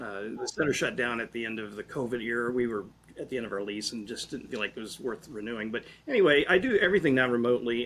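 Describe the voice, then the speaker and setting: A man at a very fast pace. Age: 60s. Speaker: sauna detox expert. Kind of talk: interview.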